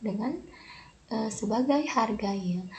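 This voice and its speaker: A woman speaks at a fairly slow pace with ordinary pitch variation. Noticeable background noise sits behind her. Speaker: pharmacy student. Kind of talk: educational presentation.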